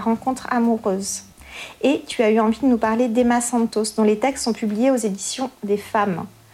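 A woman speaks at a moderate pace with a fairly high pitch and ordinary pitch variation. Noticeable background noise runs under her voice. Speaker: podcast host. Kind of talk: scripted introduction and interview. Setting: festival at a poetry house.

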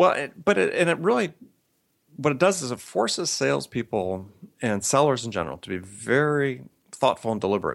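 Talking at a fairly quick pace, a man with an American accent uses a medium pitch with very wide pitch swings and vocal fry. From US Midwest (Madison, Wisconsin). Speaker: sales author and consultant. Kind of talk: interview.

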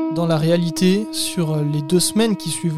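The man talks fairly slowly, his voice pitched high. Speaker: podcast narrator. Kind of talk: history documentary narration, scripted and read aloud. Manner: measured, steady storyteller pace.

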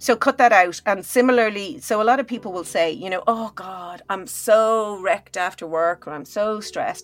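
Fairly high-pitched speech from a woman with an Irish accent, lively in intonation with big swings in loudness, at a moderate pace with hardly any pauses. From Ireland. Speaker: neuroscientist and health psychologist. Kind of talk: interview conversation. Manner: animated.

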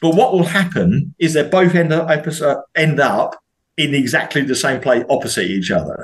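A man speaks at a fairly slow pace in a fairly high pitch, with vocal fry and ordinary pitch variation. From southeast London. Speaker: lorry driver. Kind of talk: casual chat.

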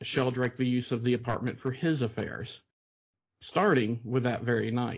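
A man speaks in an ordinary speaking voice at medium pitch. His pace is moderate. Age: 40s. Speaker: film podcast host. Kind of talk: reading aloud; casual chat.

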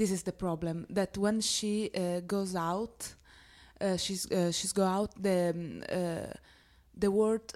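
In a very clean recording with a silent background, a woman with an Italian accent speaks at a very slow pace, her medium pitch held in a monotone, flat intonation. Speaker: actress. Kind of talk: interview. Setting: film festival. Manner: halting.

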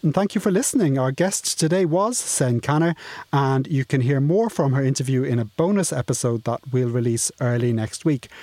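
A man with a fairly high voice speaks at a moderate pace with lively intonation in an unremarkable speaking voice, with a dry, close sound with no echo. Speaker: podcast host. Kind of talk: panel discussion podcast. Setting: studio.

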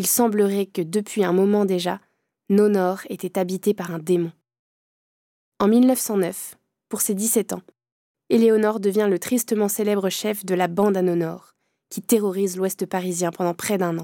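A woman's dark, mellow, dramatic voice at a medium pitch, fairly slow and even in intonation with long, frequent pauses, dry and close with no echo on a very clean recording with a silent background. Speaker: narrator. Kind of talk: true-crime narration. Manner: grave, suspenseful storytelling, measured and dramatic.

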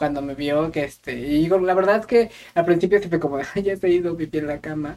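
At a fairly quick pace, a man speaks with a high-pitched voice and ordinary pitch variation. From Mexico, Querétaro. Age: 20s. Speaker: podcast co-host. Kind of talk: casual chat.

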